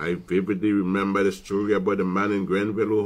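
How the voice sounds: What you hear is a natural reading voice.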